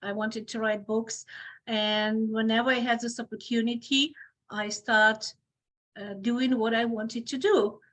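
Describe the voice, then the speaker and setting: A woman speaks at a fairly slow pace with a Ukrainian accent, her intonation monotone and flat. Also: fairly high pitch for a woman. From Ukraine. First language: Ukrainian or Russian. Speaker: obstetrician gynecologist. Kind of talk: podcast interview. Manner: halting, with many fillers.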